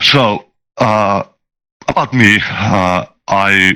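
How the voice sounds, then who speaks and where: Fairly low for a man, this Finnish-accented voice has a bright, sharp tone and fairly even intonation. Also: dry, close sound with no echo. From Finland. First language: not English (English is third language). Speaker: software developer and tabletop game master. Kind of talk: casual interview chat. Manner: halting, many filler sounds.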